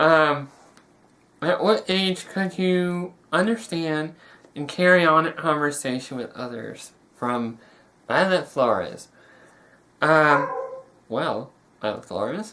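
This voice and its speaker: Here a man with a fairly high pitch and a bright, sharp tone speaks at a very slow pace. His intonation is lively, and he takes long, frequent pauses. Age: young. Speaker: young man with a rare syndrome answering questions. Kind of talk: casual Q&A interview video. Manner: halting, many fillers and restarts.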